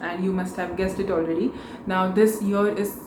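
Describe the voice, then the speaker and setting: Someone speaks with a Marathi accent over noticeable background noise, with audible room echo in the space. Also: woman. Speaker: book vlogger. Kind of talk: casual vlog talk.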